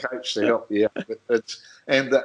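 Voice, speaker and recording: The speaker is a man. He has an Australian accent. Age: 60s. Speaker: motorsport commentator. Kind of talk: casual interview chat.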